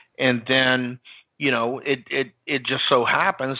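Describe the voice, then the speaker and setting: In an American accent, a man with an unremarkable speaking voice talks at a fairly slow pace, at medium pitch with ordinary pitch variation. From US South, New Orleans. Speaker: marketing consultant and entrepreneur. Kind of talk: interview.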